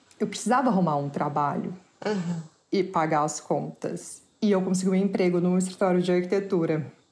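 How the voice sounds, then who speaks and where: This woman has an unremarkable speaking voice at medium pitch with ordinary pitch variation. She keeps a moderate pace and very even loudness. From Brazil. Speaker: artist. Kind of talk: interview.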